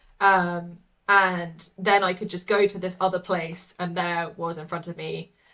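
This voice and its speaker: Here is a woman with a British accent at a medium pitch. Her tone is bright and sharp. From England, London. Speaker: artist. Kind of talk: casual interview chat.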